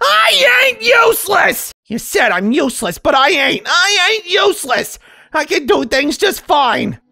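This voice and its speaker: The speaker uses a put-on character voice, high-pitched, with very wide pitch swings. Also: fairly slow pace. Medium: dub. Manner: angry, shouting.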